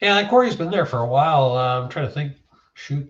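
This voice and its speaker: Relaxed and somewhat breathy, a man talks at a fairly quick pace. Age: 60s. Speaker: livestreamer. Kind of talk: casual chat. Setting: shed. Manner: relaxed, hesitant with many fillers.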